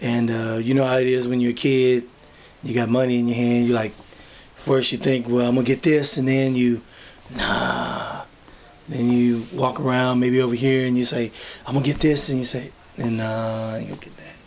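Monotone, flat intonation from a man, with light background noise. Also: moderate pace. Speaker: interviewee. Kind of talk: interview answer. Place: office. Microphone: camera far.

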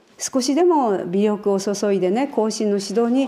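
The pitch swings very widely. The pace is fairly slow. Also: woman. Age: 70s. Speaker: iaido master and instructor. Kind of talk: interview answer. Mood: calm, earnest, humble. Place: hall.

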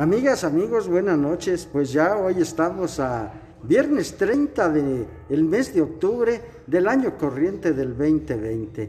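A man's high-pitched voice with very wide pitch swings, a very slow pace and very even loudness. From Mexico, Guanajuato. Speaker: local news reporter. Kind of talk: on-location report and interview. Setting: indoors at cultural center, dim candlelight. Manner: formal. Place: hall. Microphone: phone near.

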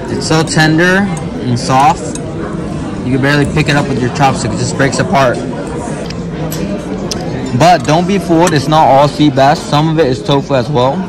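A man talks at a moderate pace and a fairly high pitch, with ordinary pitch variation and long, frequent pauses. Clear background noise, including clear crowd noise, runs behind him.

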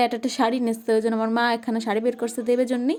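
High-pitched speech from a woman, dark and mellow in tone. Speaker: village vlogger. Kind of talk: vlog monologue.

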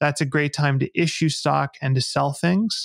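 A man speaks against a quiet background, the sound dry with no echo. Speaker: podcast guest. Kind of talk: interview answer. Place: home room. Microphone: studio mic.

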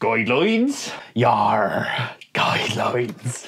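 Using a raspy put-on character voice, a man speaks at a medium pitch and a very slow pace. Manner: playful, exaggerated.

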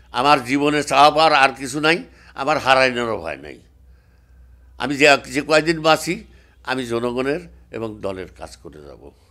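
The voice has a bright, sharp tone, ordinary pitch variation and big swings in loudness over a quiet background. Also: man, fairly high pitch for a man. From Bangladesh. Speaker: former member of parliament, politician. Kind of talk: interview monologue, political speech. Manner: halting, many pauses. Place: office. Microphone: handheld.

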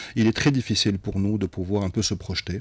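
The sound is dry with no echo as a man speaks at a fairly low pitch with ordinary pitch variation. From Algeria. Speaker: tech company executive; radio guest. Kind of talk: radio interview. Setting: live radio studio. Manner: hesitant, many fillers. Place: studio. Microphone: studio mic.

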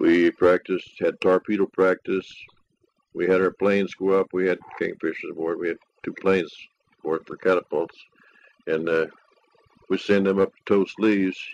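With an American accent, the speaker moves at a moderate pace in a flat, monotone delivery, with big swings in loudness and long, frequent pauses, in a dry, close sound with no echo. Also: man, very deep, low pitch for a man. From West Virginia. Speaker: war veteran. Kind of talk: oral history interview. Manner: casual, rambling.

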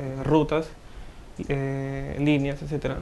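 The man talks in a monotone with flat intonation. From Trujillo, northern Peru. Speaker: software developer and student. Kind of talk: interview. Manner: hesitant, many fillers.

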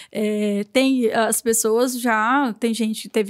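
A woman talks in a monotone, flat intonation against a quiet background. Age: 40s. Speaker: novelist and lawyer; lawyer. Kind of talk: casual interview. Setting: studio. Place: studio. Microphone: studio mic.

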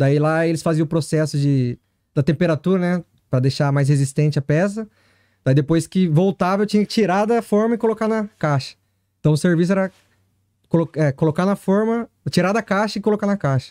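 The voice has a dark, mellow tone and ordinary pitch variation at a fairly quick pace. The background is quiet. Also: man, high pitch for a man. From São Paulo state, Brazil. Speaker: Brazilian-Japanese factory worker in Japan. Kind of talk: casual chat. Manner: halting. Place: studio. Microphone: studio mic.

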